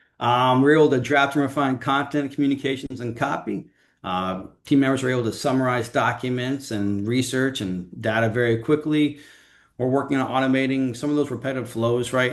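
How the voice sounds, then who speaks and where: Here a man speaks at a fairly quick pace in a medium pitch. His intonation stays fairly even. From Miami, Florida. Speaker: organization technology manager. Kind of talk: business presentation. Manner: fast.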